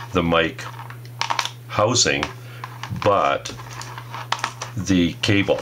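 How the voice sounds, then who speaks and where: Over noticeable background noise, a man speaks at a fairly low pitch with ordinary pitch variation. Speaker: product reviewer. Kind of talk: tutorial. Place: workshop. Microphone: phone near.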